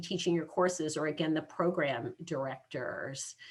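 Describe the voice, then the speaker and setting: With fairly low pitch and fairly even intonation, a woman speaks in an unremarkable speaking voice. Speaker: university academic advisor. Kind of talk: presentation to students.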